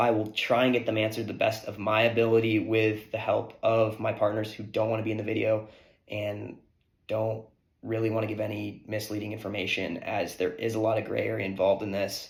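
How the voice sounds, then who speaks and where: A man's somewhat breathy, fairly low-pitched voice with audible room echo. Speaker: sports betting YouTuber. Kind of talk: explainer monologue to camera. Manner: casual, with many fillers.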